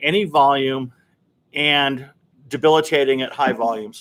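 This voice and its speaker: A man speaks in a normal speaking voice. His pace is fairly slow. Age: 60s. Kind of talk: casual chat.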